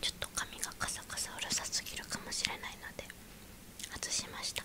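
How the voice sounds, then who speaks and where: The voice is soft-spoken and whispering. It moves at a fairly quick pace. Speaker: food reviewer. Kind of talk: casual food review chat. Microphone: phone near.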